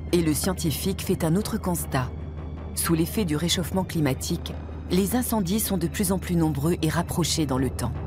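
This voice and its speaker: A woman talks at a moderate speed while music plays behind her. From France. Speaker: voice actor. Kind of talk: documentary narration.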